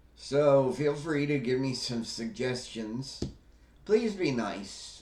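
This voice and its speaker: At a very slow pace, a man speaks at a medium pitch amid audible room echo. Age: 60s. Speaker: wellness YouTuber, stroke survivor. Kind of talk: casual vlog monologue. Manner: hesitant, many fillers.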